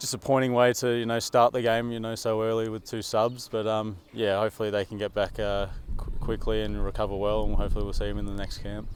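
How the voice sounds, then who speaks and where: Delivered at a very fast pace, the speech has an Australian accent and monotone, flat intonation. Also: man, fairly low pitch for a man. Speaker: professional footballer. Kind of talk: press interview. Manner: halting, many repetitions and fillers.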